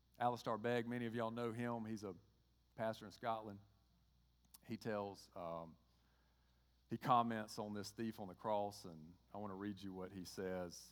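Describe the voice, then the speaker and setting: With a Georgia accent, a man talks at a moderate pace and fairly low pitch, his intonation fairly even and marked by long, frequent pauses. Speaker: pastor. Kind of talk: sermon.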